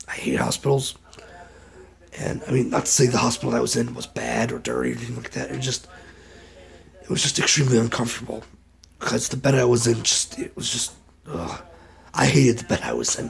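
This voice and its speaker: A man's very fast speech broken by long, frequent pauses, with noticeable background noise. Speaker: vlogger. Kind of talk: casual vlog update. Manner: halting, repetitive.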